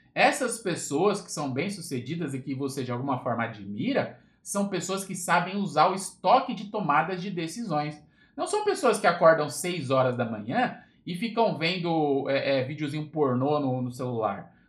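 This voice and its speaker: The loudness swings widely and the pitch swings are very wide. The pace is moderate, with audible room echo. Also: man, fairly high pitch for a man. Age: 30s. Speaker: motivational podcaster. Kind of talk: casual livestream talk. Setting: Instagram live. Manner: casual, informal with filler words.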